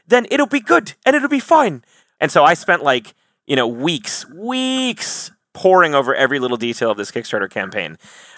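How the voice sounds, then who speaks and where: An animated voice with an American accent at a moderate pace, on a very clean recording with a silent background and a dry, close sound with no echo. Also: man. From Wisconsin, US. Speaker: metal band singer. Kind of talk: casual interview, humorous. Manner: animated, jokey.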